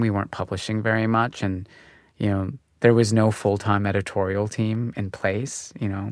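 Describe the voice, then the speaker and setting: On a very clean recording with a silent background, a man speaks at a moderate pace in a fairly low pitch, using a plain, everyday voice with ordinary pitch variation. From Canada (Calgary). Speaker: fashion media founder. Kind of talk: interview. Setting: studio.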